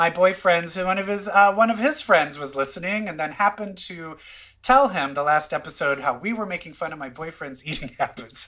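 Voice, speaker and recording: A man speaks fairly quickly with a Minnesotan accent and lively intonation. His voice is high-pitched, with a bright, sharp tone. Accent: Minnesota. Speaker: podcast host. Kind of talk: casual chat.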